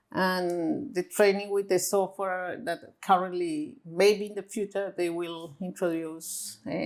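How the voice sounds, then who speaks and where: At a fairly slow pace, a woman speaks with a Spanish accent. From Colombia. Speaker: visually impaired guide dog user. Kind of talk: interview. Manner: halting, with many fillers.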